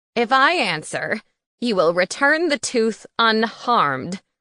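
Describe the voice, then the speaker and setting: Using a put-on character voice, a woman projects in a raised, fairly high voice at a fairly slow pace, her pitch swinging very widely. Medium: read story. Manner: formal, blunt.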